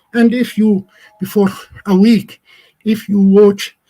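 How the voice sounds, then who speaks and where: With an Arabic accent, a man speaks at a fairly slow pace. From Palestine. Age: 60s. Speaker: Palestinian agricultural NGO representative. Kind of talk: lecture. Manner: halting.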